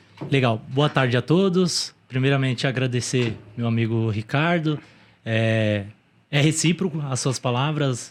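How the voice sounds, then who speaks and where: In an ordinary speaking voice, a man talks at a fairly slow pace with medium pitch and ordinary pitch variation, on a very clean recording with a silent background. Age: 30s. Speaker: e-commerce entrepreneur. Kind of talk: interview.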